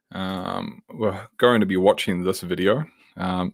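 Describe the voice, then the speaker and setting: A fairly low-pitched man with a New Zealand accent on a very clean recording, silent in the background. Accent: New Zealand (Kiwi). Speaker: tech worker and livestream host. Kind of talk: live tutorial stream. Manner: casual, many fillers.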